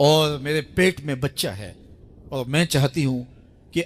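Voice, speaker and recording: Here a man with a plain, everyday voice talks at a fairly high pitch with ordinary pitch variation. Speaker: Islamic preacher giving a sermon. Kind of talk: religious sermon (bayan).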